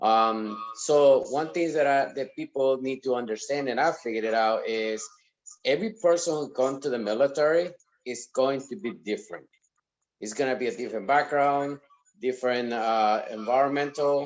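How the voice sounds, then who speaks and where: A man at a moderate pace and medium pitch, with ordinary pitch variation. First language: not English. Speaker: sergeant major, panel guest. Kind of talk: online panel discussion. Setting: on a phone call into online session.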